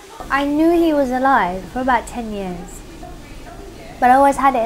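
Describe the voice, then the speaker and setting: Ordinary pitch variation marks a woman speaking at a fairly quick pace. Noticeable background noise and audible room echo are present. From Iraq, Baghdad until 11, then London. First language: Arabic. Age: 30s. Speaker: documentary subject. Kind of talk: interview testimony.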